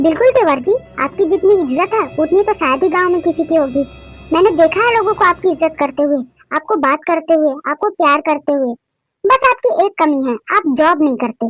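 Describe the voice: With music in the background, a woman does a cartoonish character voice at an extremely high pitch, talking at a fairly quick pace with lively intonation in a dry, close sound with no echo.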